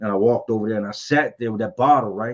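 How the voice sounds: With fairly even intonation, a man talks at a fast pace in a fairly low pitch, his tone slightly mellow.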